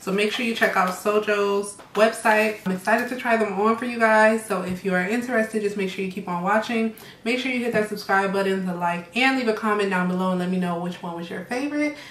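A woman at a very fast pace, fairly even intonation, audible room echo. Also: hardly any pauses. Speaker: style vlogger. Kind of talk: casual vlog chat.

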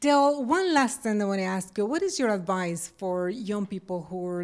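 A woman's voice with a Spanish accent, moderate pace and ordinary pitch variation. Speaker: TV interviewer. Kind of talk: interview. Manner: code-switches Spanish and English. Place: home room. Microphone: handheld.

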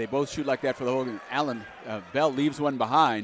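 A man speaks at a fairly quick pace in a fairly high pitch. Noticeable background noise runs under his voice. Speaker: play-by-play announcer. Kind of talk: live sports commentary. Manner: excitable, rising on big plays.

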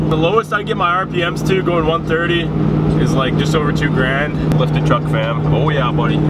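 Behind the voice, music is playing. A man delivers his words at a fairly quick pace. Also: dry sound with no echo. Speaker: vlogger driving. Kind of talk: casual vlog chat. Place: car. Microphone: phone near.

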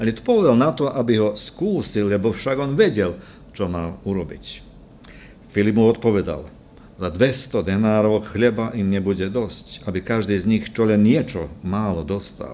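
With light background noise, a man speaks at a moderate pace, his fairly low voice having a dark, mellow tone. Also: ordinary pitch variation. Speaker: preacher. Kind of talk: scripture reading in a sermon. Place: church. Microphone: podium.

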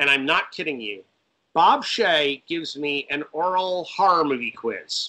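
Slowing to a fairly slow pace, a man with an American accent speaks in a high voice with a bright, sharp tone. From Connecticut, US Northeast. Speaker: film director and writer; guest. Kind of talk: casual interview. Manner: animated. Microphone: video call.

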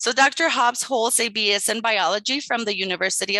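At a moderate pace, a woman speaks in a bright, sharp tone, the sound dry and close with no echo.

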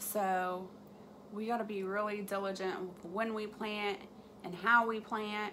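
A woman speaks slowly at a medium pitch, her tone fairly bright and her intonation fairly even, with faint background noise behind her.

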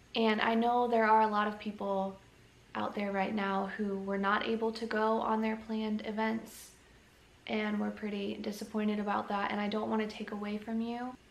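Audible room echo surrounds a woman's voice. She speaks at a moderate pace with monotone, flat intonation. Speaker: family vlogger. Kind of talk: casual vlog chat. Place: home room. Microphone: phone near.

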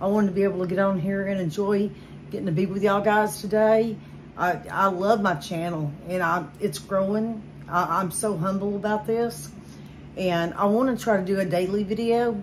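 A woman speaks at a moderate pace, her intonation fairly even, while light background noise sits behind her. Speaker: home vlogger. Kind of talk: casual vlog chat. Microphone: phone near.

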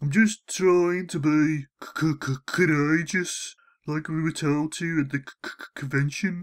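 A put-on character voice, whiny, in a timid, whiny tone at a very slow pace, in a very clean recording with a silent background. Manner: timid, apologetic, whiny.

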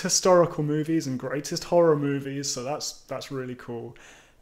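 A man with a British accent at a moderate pace, with ordinary pitch variation, on a very clean recording with a silent background. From United Kingdom. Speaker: YouTube channel creator. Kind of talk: casual vlog monologue. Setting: home recording with microphone.

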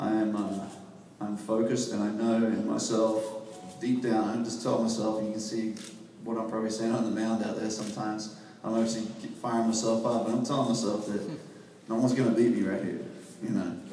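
This man talks at a fairly quick pace in a monotone, flat way. The room echoes audibly, with light background noise. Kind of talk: interview answer. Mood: earnest, determined. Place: hall. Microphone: camera far.

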